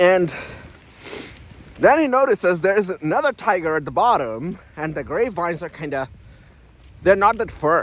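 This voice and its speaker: This speaker has a non-native accent and a moderate pace. The pitch swings very widely, with long, frequent pauses. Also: man, high pitch for a man. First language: not English. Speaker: self-help YouTuber. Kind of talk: casual vlog monologue. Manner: hesitant, many fillers.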